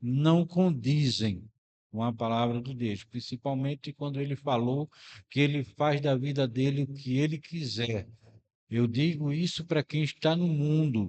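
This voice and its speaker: At a fairly slow pace, a man with a fairly high pitch and ordinary pitch variation speaks in a normal speaking voice. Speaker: radio announcer. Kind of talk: religious commentary to listeners.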